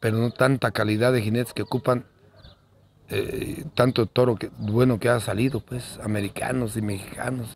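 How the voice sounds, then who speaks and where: The man's pitch is medium. His delivery is monotone and flat. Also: moderate pace. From Guanajuato, central Mexico. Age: 60s. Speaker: bull rancher. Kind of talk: interview. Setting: at his home. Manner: halting, repeats words.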